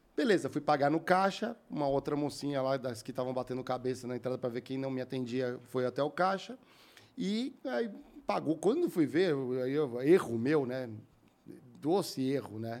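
This man has a fairly high pitch and a normal speaking voice. His pitch varies in an ordinary way. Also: moderate pace. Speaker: podcast host. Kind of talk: casual podcast chat.

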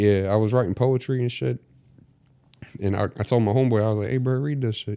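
A man talks very fast at medium pitch with a dark, mellow tone. Long, frequent pauses break up his speech, and his pitch varies in an ordinary way. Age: 20s. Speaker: podcast co-host. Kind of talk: casual chat.

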